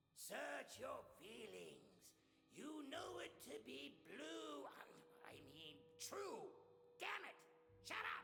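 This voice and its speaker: In a put-on character voice, a man growls with a theatrical tone at a very slow pace. Long, frequent pauses break up his lines over music in the background. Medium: video game. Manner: theatrical, gloating.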